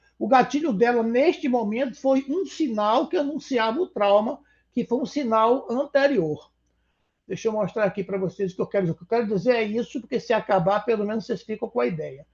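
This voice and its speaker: Extremely high in pitch, a man's voice moves at a fairly quick pace with lively intonation against a quiet background. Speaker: psychodrama therapist and article author. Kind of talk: online talk presentation.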